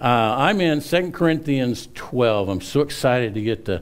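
Ordinary pitch variation marks this man's speech. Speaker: pastor. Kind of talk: sermon. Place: church.

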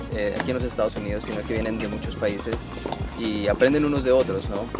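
Loud music sits behind a man's voice, and the sound is dry with no echo. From Colombia. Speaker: tennis parent and recreational player. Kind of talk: interview answer. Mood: friendly, relaxed. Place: stadium.

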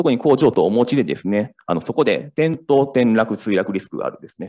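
Against a quiet background, a man with vocal fry talks at a very fast pace. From Kansai, Japan; Japan. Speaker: startup founder; presenter. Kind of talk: startup pitch. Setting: stage with audience. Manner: halting. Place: hall.

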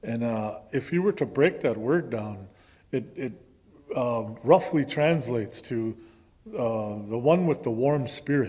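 Here a man talks at a very slow pace with an American accent. His tone is dark and mellow. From US Midwest. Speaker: guest. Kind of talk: sermon-style talk. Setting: church. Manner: halting, frequent repetitions. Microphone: podium.

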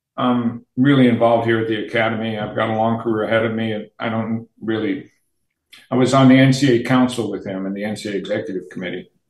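Against a quiet background with audible room echo, a man talks at a fairly quick pace. He keeps his intonation fairly even. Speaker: remote podcast guest. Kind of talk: interview answer, storytelling. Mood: amused, recounting. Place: home room. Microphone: video call.

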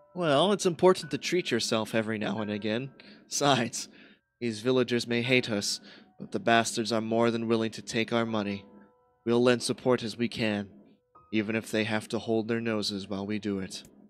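Faint music plays in the background as a woman speaks at a fairly quick pace in a gruff, put-on character voice. Her pitch is very deep and low. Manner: gruff, teasing, cackling.

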